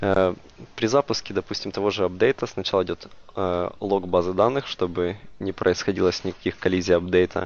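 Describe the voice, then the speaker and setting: A man's voice has a very deep, low pitch. He keeps a moderate pace and fairly even intonation. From Ukraine, Dnipro. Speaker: software developer. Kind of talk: conference tech talk. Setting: stage with audience. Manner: halting, many filler words.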